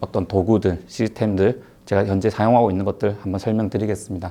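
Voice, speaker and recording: With a slight Gyeongsang accent, a man speaks fairly quickly in a fairly low pitch and a dark, mellow tone. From South Gyeongsang, Korea (Hadong/Jinju). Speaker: tax accountant, lecturer. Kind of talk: online lecture. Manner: hesitant, many fillers.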